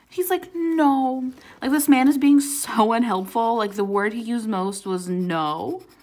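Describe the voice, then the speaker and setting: Delivery is fairly slow. Pitch rises and falls across a very wide range. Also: woman, fairly high pitch for a woman. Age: 20s. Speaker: YouTuber doing coloring videos. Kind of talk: casual chat. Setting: at home with a dog in the background.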